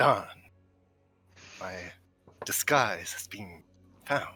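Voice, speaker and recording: The speaker uses a put-on character voice. Faint music plays in the background. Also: man, fairly high pitch for a man. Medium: actual play.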